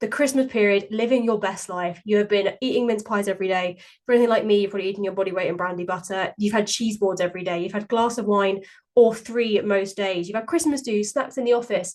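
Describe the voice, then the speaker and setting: A woman speaks very fast with a British accent. Her voice is fairly high, with ordinary pitch variation. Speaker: podcast host and weight-loss coach. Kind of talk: solo podcast monologue. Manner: chatty.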